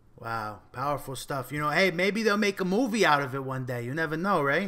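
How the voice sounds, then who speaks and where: Here is a man with a New Jersey accent and a bright, sharp tone. He talks at a fairly quick pace in a fairly high pitch with lively intonation. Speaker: podcast host. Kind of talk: podcast interview. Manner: casual.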